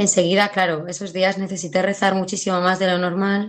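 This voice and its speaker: This woman's voice sits at a medium pitch. Her pace is very fast. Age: 30s. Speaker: PE and religion teacher. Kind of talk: testimony.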